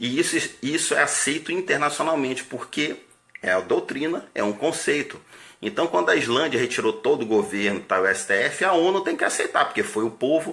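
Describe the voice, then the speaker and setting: Noticeable background noise sits behind a man who speaks at a moderate pace with very even loudness. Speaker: army officer. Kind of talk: political monologue.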